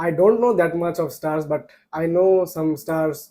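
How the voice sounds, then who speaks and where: At a fairly slow pace, a man speaks with a high pitch. His tone is dark and mellow. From Bangladesh, Bogura. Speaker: IELTS candidate. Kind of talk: mock exam interview. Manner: halting, with fillers.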